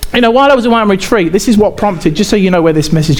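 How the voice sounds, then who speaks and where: With noticeable background noise and audible room echo, a man speaks with lively intonation. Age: 40s. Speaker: pastor. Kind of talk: sermon.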